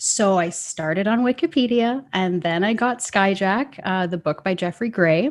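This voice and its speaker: With a Canadian accent, a woman talks with lively intonation and hardly any pauses. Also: medium pitch for a woman, moderate pace. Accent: Canadian, sounds a bit like Minnesota. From Canada. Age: 30s. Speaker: citizen sleuth. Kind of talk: interview conversation.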